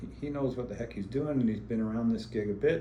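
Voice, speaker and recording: The room echo is audible as a man speaks at a fairly quick pace. His pitch varies in an ordinary way. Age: 70s. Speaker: businessman and dental patient. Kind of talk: patient testimonial interview. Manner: casual, with frequent fillers.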